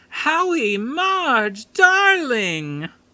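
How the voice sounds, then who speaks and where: A put-on character voice, high-pitched and shrill, leaps through very wide pitch swings. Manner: calling out affectionately.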